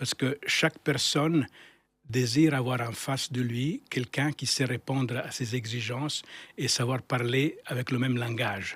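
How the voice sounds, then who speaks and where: At a fairly slow pace, a man talks with fairly even intonation. His pitch sits in the medium range. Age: 60s. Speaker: architect, firm founder. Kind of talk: interview. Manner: halting, many repetitions and fillers.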